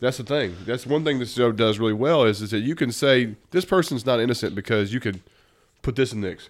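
A man with a Southern US accent at a fairly quick pace, ordinary pitch variation, on a very clean recording with a silent background. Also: medium pitch for a man. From US South. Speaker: podcast host. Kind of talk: casual chat.

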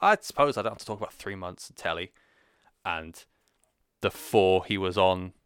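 A man with a British accent speaks at a fairly quick pace, his pitch fairly low and his tone bright and sharp. The sound is dry and close with no echo, on a very clean recording with a silent background. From Britain. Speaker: wrestling podcast host. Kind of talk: solo podcast monologue. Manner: casual, rambling with fillers.

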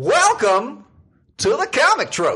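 Extremely high-pitched male put-on character voice. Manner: showy, theatrical.

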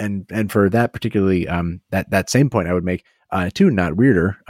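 In a very clean recording with a silent background and a dry, close sound with no echo, a man with a very deep, low voice talks at a fairly quick pace with ordinary pitch variation. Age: 30s. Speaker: podcast co-host. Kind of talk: casual chat.

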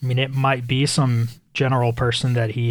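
A man talks at a fairly quick pace in a somewhat breathy, medium-pitched voice with monotone, flat intonation. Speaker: podcaster. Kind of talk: personal monologue. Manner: casual, hesitant.

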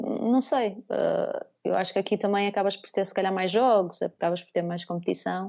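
Pitched at a medium level, a woman talks in a normal speaking voice. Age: 30s. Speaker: former basketball player. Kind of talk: casual interview.

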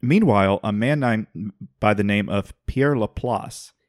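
The clip has an unforced reading voice with ordinary pitch variation against a quiet background.

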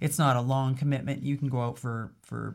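A woman with a Canadian accent talks at a moderate pace in a very deep, low pitch, her intonation monotone and flat. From Northern Alberta, Canada. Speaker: ballet company executive director. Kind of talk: interview.

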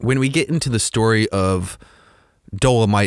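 On a very clean recording with a silent background, a man with a plain, everyday voice talks at a fairly low pitch with lively intonation. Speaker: podcast host and movie reviewer. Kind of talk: solo podcast monologue, scripted review.

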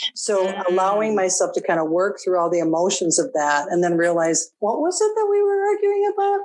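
Talking at a fairly quick pace with a Minnesotan accent, a woman is heard over noticeable background noise. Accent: Minnesota. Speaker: interview guest, relationship coach.

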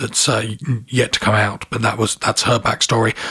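A man's monotone, flat delivery at medium pitch and a moderate pace, with a southern English accent and noticeable background noise. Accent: English, southern, retained. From south of England. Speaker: comic book editor and writer. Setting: studio.

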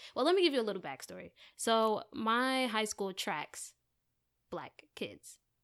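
A woman with an American accent speaks at a fairly slow pace in a fairly high pitch, her voice swinging very widely in pitch, on a very clean recording with a silent background. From US, New Jersey (Maplewood). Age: 20s. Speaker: rapper. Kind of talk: casual chat.

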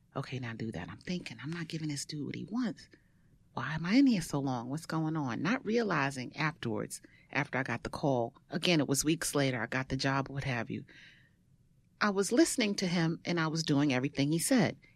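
A woman with a Brooklyn accent talks fairly quickly in a very deep, low voice with lively intonation. The background is quiet. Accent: New York (Brooklyn). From Brooklyn, New York. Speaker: stand-up comedian and actress. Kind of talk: casual chat.

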